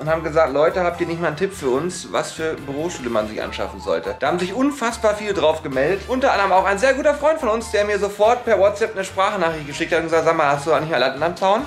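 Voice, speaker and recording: A man talks at a very fast pace in a high pitch. Faint music plays in the background. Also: hardly any pauses. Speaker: vlogger. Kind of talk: casual vlog chat. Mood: joking, playful. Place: office. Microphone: phone near.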